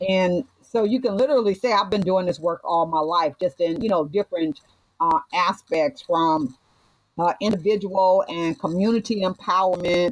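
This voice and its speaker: The woman's voice sits at a medium pitch with ordinary pitch variation and very even loudness, heard as a dry, close sound with no echo. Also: moderate pace. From US West Coast, Watts, Los Angeles. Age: 60s. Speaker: reverend and community activist. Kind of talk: podcast interview. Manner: lively and animated.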